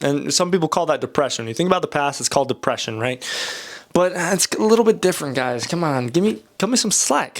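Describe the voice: A man with a fairly high pitch talks at a fast pace, his intonation lively and marked by vocal fry.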